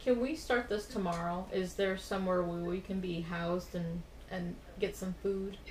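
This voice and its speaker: With noticeable background noise behind her, a woman keeps a moderate pace, a medium pitch, and ordinary pitch variation. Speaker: role-playing game player. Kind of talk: tabletop RPG actual play, in-character speech.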